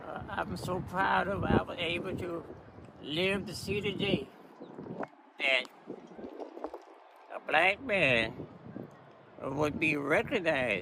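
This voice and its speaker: Against noticeable background noise, a man with a high pitch speaks very slowly with lively intonation and long, frequent pauses. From Florida, USA. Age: 80s+. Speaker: golfer. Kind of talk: interview answer.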